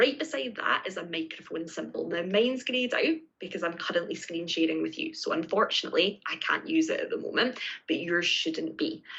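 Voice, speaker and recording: A woman with a Scottish accent at a fairly quick pace, over noticeable background noise. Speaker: teacher trainer. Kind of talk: tutorial. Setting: live online session with screen sharing. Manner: clear, step-by-step.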